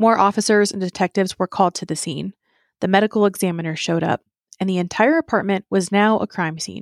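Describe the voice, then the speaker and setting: In a very clean recording with a silent background, a woman speaks at a very fast pace in a serious tone. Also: medium pitch for a woman, ordinary pitch variation, dry, close sound with no echo. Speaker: true crime podcast host. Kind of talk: true-crime narration. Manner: measured, storytelling; serious, somber.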